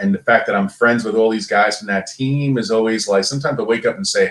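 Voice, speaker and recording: A man with a strong Brooklyn accent and fairly even intonation. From Brooklyn, New York. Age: 50. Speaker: former pro athlete. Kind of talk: podcast interview.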